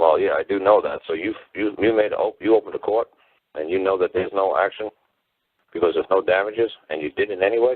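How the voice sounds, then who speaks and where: Talking at a very fast pace, this man has a New York accent. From New York City. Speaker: common-law teacher, call-in show host. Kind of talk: call-in show conversation. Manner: animated.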